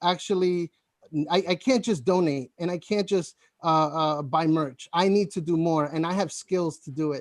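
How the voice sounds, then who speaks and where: Speaking at a moderate pace, a man has a high pitch and ordinary pitch variation. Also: dry, close sound with no echo. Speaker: campaign volunteer. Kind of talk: casual chat. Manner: halting.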